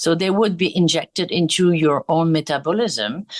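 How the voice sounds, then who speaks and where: The speaker talks at a moderate pace with a French accent. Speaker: skincare brand executive. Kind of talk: interview. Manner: hesitant, many fillers.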